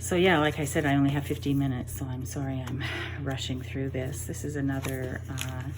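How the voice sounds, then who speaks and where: A woman with a very deep, low voice and ordinary pitch variation speaks at a fairly quick pace, with audible room echo and noticeable background noise. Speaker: junk journal crafter. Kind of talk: craft show-and-tell. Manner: fast, rushing.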